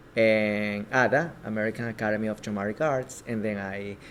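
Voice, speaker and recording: At a moderate pace, a man talks in a fairly low pitch with a Spanish accent. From Ecuador. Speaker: filmmaker and actor. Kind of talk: interview. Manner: halting.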